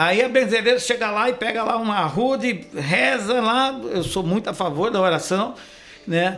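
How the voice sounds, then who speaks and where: A man with a high pitch talks at a moderate pace with ordinary pitch variation, and room echo can be heard. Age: 60s. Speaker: chiropractor. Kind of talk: interview.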